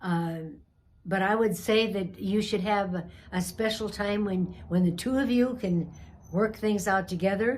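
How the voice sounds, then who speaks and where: A woman talks at a fairly slow pace with a medium pitch. Her voice is somewhat breathy, with ordinary pitch variation. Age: 80s+. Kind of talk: interview answer.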